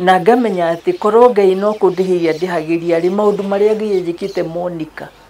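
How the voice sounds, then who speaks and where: Against noticeable background noise, a woman with a Kenyan accent speaks at a moderate pace and a medium pitch. Her intonation stays fairly even, with hardly any pauses. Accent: Kenyan (Kikuyu) English. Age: 70s. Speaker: therapist and pastor. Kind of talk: interview testimony.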